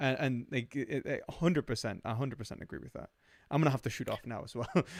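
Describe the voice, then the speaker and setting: A man speaks at a very fast pace with a Newcastle accent. His pitch sits in the middle, and his loudness swings widely. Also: ordinary pitch variation. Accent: Northern English, Newcastle (Geordie). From northern England, Jarrow near Newcastle (Geordie). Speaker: philosophy discussion guest. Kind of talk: casual chat. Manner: halting, many fillers.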